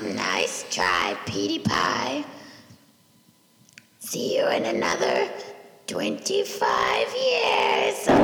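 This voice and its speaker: A put-on character voice, raspy and very slow, with long, frequent pauses and a clear echo around it. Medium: audio drama. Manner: calm, taunting.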